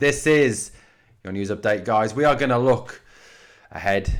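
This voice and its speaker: A man with an English accent at a fairly slow pace, on a very clean recording with a silent background. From England. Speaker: sports podcaster. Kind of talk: sports news commentary. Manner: animated.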